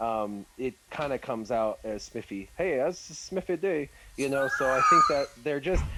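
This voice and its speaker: Against noticeable background noise, a man with a medium pitch speaks with an American accent. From United States. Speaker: gaming content creator. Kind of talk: live stream Q&A chat.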